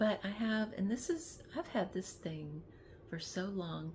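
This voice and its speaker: Medium pitch, a somewhat breathy tone and ordinary pitch variation from a woman. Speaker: lifestyle vlogger. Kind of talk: casual vlog talk. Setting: in bed. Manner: halting, many restarts; talkative.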